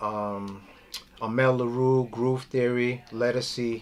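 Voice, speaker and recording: Over noticeable background noise, a man speaks in a medium pitch. His intonation stays fairly even. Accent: New York. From New York. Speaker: drummer. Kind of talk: oral history interview.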